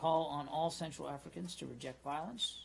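Light background noise is audible behind a man. He talks at a moderate pace with fairly even intonation. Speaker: government spokesperson. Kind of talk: official press statement. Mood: formal, measured. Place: hall. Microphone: podium.

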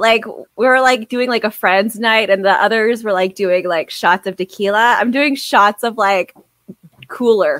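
An ordinary speaking voice from a woman, fairly high in pitch with ordinary pitch variation, at a moderate pace, the sound dry and close with no echo. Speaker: podcast co-host. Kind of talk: casual chat.

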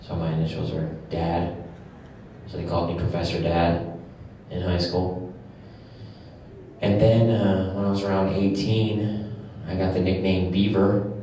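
Amid strong room echo and light background noise, a man with a very deep, low pitch speaks in a flat monotone at a fairly slow pace with long, frequent pauses. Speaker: comedian performer. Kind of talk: interview answer. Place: stage. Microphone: camera far.

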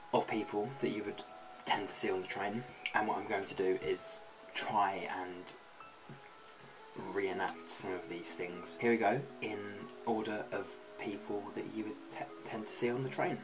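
A man talks at a moderate pace with ordinary pitch variation, leaving long, frequent pauses. Clear music sounds in the background. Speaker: vlogger. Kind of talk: casual vlog chat. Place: home room. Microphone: webcam.

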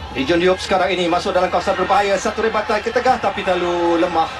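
A man with a high pitch at a very fast pace, crowd noise in the background. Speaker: football commentator. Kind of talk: live match commentary. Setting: stadium commentary over match footage. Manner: fast, clipped, urgent play-by-play; rising excitement at chances.

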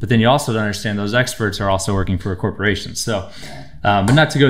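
A man with a fairly low pitch at a very fast pace, over a quiet background. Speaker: chiropractor guest. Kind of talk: interview answer. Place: studio. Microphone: studio mic.

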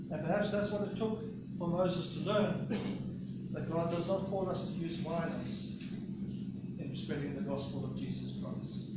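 Long, frequent pauses break up the speech, which carries audible room echo and loud background noise. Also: man, moderate pace. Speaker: preacher. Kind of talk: sermon. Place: church. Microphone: camera far.

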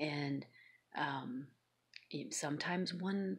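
A woman's very slow speech with vocal fry and ordinary pitch variation, over a quiet background. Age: 50s. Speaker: YouTube vlogger. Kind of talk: personal vlog monologue. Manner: hesitant, many filler ums. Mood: serious, aggrieved. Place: home room. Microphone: phone near.

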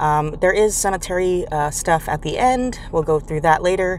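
The recording has a dry sound with no echo and light background noise. A woman speaks at a moderate pace, fairly low in pitch, with ordinary pitch variation. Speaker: travel vlogger. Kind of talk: casual vlog chat. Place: car. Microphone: phone near.

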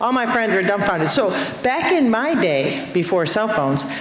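Speech at a moderate pace, with light background noise and audible room echo. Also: woman. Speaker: state representative and Marine veteran. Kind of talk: panel discussion. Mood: lively, humorous storytelling. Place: stage. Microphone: handheld.

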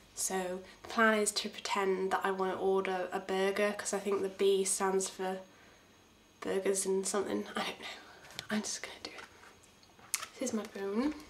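Noticeable background noise sits behind a woman speaking at a medium pitch. Her delivery is flat and monotone, broken by long, frequent pauses. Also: moderate pace. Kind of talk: casual talk to camera.

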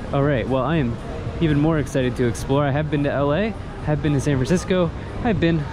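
Over noticeable background noise, a man speaks at a moderate pace with ordinary pitch variation, the sound dry and without echo. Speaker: travel vlogger. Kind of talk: casual vlog chat. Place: street. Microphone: phone near.

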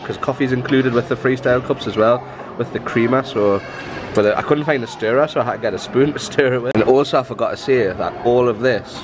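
A man speaks with fairly even intonation. There is noticeable background noise in the recording. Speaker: travel vlogger. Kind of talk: casual vlog chat. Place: cafe. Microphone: phone near.

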